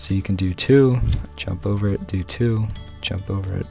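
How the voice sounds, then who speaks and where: A quiet, very deep, low male voice at a fairly slow pace, with ordinary pitch variation and music in the background. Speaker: gaming video creator. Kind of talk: gameplay tutorial commentary.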